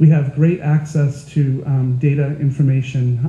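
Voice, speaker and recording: Noticeable background noise sits behind a man with a fairly high pitch. He speaks with an American accent in monotone, flat intonation. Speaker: nurse and health IT consultant. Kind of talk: panel presentation.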